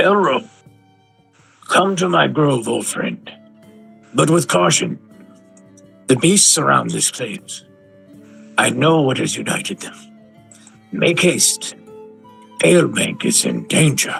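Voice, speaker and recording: A gruff, put-on character voice moves at a fairly slow pace while faint music plays in the background. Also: man, medium pitch for a man. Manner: urgent.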